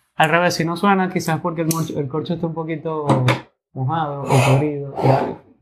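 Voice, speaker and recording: A man speaks at a moderate pace in a fairly high voice with fairly even intonation. Room echo is audible. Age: 20s. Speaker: sommelier. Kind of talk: interview.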